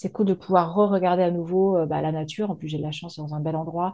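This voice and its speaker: This woman's pitch sits fairly low. Her intonation stays fairly even. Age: 40s. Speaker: business coach, former HR manager. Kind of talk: interview. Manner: fast; hesitant, with many fillers.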